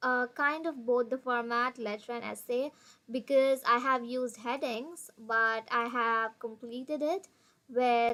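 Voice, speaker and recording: In a Tamil accent, a woman speaks at a fairly slow pace with a high pitch, a bright, sharp tone and fairly even intonation. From India (Tamil-speaking). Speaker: international student / vlogger. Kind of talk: tutorial.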